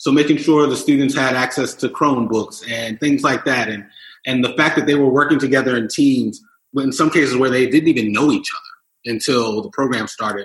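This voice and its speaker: This man has a plain, everyday voice of medium pitch, with an American accent. He talks at a fairly quick pace with fairly even intonation. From Philadelphia. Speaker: entrepreneur. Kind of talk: casual chat.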